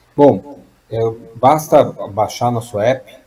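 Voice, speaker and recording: A man speaks very slowly in a dark, mellow tone. His voice is somewhat breathy, with ordinary pitch variation. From Brazil, Minas Gerais (Juiz de Fora). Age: 30s. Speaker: tech startup founder. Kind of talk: radio interview.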